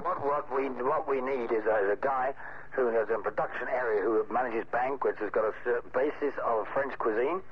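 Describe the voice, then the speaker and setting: A man at medium pitch and moderate pace, with fairly even intonation, very even loudness and noticeable background noise. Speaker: hotel executive chef, prank target. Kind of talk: business phone call, answering the prank. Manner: polite, businesslike.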